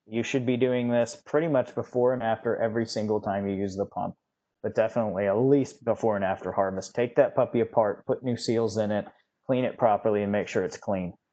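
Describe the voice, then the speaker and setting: Over a quiet background, a man with an American accent speaks at a fairly quick pace. His voice has a medium pitch and a dark, mellow tone. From US West (California Central Valley). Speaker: wine industry technical presenter. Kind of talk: webinar presentation. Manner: fast.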